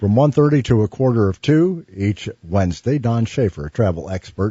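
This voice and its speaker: A man's medium-pitched, somewhat breathy voice with very wide pitch swings at a fairly slow pace. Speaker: radio host. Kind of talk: radio show intro.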